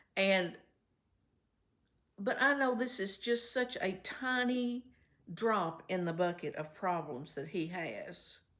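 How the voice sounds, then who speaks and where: A woman with a Kentucky accent at a very slow pace, medium pitch, lively intonation and long, frequent pauses. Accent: Kentucky Southern US. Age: 70s. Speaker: vlogger. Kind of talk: casual vlog talk to viewers. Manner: chatty, conversational.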